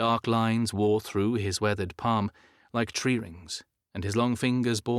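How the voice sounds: A natural reading voice with fairly even intonation, against a quiet background.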